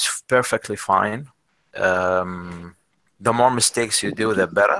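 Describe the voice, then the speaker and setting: A man with a non-native accent speaks fairly slowly at a fairly low pitch, his tone bright and sharp, his pitch variation ordinary, the sound dry and close with no echo. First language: not English. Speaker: English conversation trainer. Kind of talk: online class session. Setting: video call. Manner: halting, many fillers.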